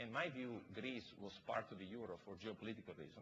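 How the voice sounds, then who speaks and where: Talking at a fairly quick pace with a non-native accent, a man uses ordinary pitch variation. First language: not English. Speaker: investor, panelist. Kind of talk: panel discussion.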